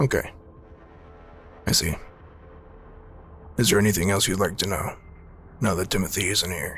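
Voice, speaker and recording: A man puts on a raspy character voice with a fairly low pitch, talking at a moderate pace with long, frequent pauses. Clear music plays in the background. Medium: actual play. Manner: polite, careful.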